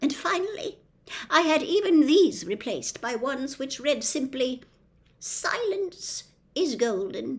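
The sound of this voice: A woman's put-on character voice, high in pitch, slow in pace, with big pitch swings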